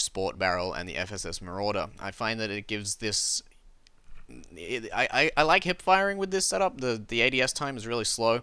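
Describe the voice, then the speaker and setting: A man with an Australian accent speaks at medium pitch in a bright, sharp tone with lively intonation, on a very clean recording with a silent background. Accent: scuffed Australian. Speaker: gaming YouTuber. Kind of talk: gameplay commentary. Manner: casual, hesitant with fillers.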